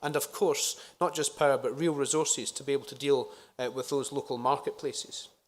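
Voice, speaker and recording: A man talks at a fairly quick pace in a Scottish accent. The recording is very clean, with a silent background. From Scotland. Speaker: politician. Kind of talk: conference speech. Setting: conference stage with audience. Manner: frequent filler uhs.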